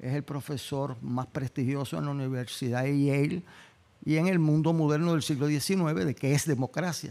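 A man with a dark, mellow tone speaks at a fairly high pitch and a moderate pace, with ordinary pitch variation. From Puerto Rico. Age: 70s. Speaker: law and politics professor, former mayor. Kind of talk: panel talk.

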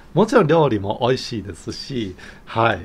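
The delivery comes at a fairly slow pace with lively intonation. The voice is somewhat breathy. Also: man. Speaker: YouTuber. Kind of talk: casual monologue. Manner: chatty. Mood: cheerful, laughing often. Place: home room. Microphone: phone near.

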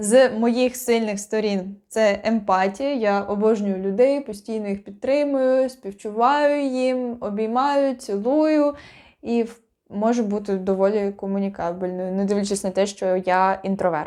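On a very clean recording with a silent background, a woman speaks at a fairly slow pace. Her voice is dark and mellow, fairly high in pitch, with ordinary pitch variation. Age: 20s. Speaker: actress. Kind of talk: self-introduction video. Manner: casual, unprepared.

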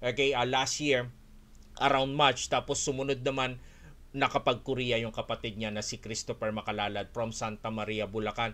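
A man's bright, sharp tone holds to fairly even intonation. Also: medium pitch for a man, moderate pace. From Philippines, Olongapo City; Philippines. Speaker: Korean language teacher and school owner; Korean language teacher. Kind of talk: online webinar. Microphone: webcam.

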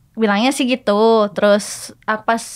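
A woman with a fairly high pitch over a quiet background. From Indonesia, Purwokerto; Indonesia. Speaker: self-taught Japanese speaker, anime fan; podcast guest. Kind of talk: casual interview chat. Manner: halting. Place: studio. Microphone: studio mic.

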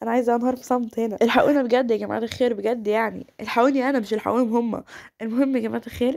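A woman's high-pitched voice at a very fast pace. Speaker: gaming YouTuber. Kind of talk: gameplay commentary. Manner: animated.

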